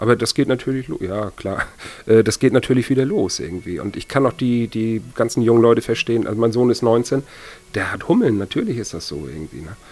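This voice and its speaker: A man's medium-pitched voice at a fairly quick pace, with big swings in loudness, ordinary pitch variation and noticeable background noise. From northern Germany, village near Kiel. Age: 40s. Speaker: soul event organizer and record collector. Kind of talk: casual interview. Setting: living room at home.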